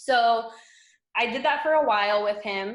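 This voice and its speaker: A woman with an American accent and a plain, everyday voice, at a moderate pace with ordinary pitch variation. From South Florida. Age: 20s. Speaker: fitness coach. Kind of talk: casual chat.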